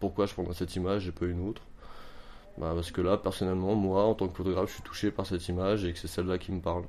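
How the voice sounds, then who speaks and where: Here a man talks at a very fast pace in a flat monotone. His pitch is very deep and low. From France, Montreuil (Paris area). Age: 20s. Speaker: amateur photographer. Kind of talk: interview. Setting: at home. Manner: halting.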